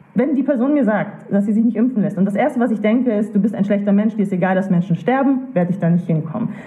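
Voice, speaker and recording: A woman speaks at a fairly high pitch with ordinary pitch variation. Her pace is fairly quick. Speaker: co-founder of a critical thinking association. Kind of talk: interview conversation. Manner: fast.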